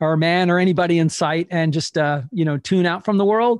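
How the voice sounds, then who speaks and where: In a dry recording with no echo and a quiet background, a man with a high voice and an American accent talks at a moderate pace with fairly even intonation. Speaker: podcast host. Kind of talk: podcast interview talk. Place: home room. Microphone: studio mic.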